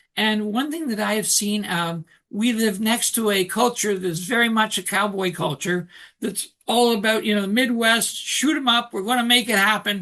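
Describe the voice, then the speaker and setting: A man with a Canadian accent speaks in a raised, projected voice, pitched high for a man, at a moderate pace with a bright, sharp tone. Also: ordinary pitch variation. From Canada. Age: 60s. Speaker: author and coach. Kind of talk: interview.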